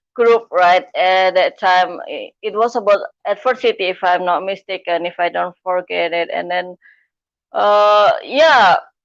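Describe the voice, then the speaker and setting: A woman's medium-pitched voice with a non-native accent, at a fairly slow pace. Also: ordinary pitch variation. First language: not English. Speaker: live streamer, coach and speaker. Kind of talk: live stream interview.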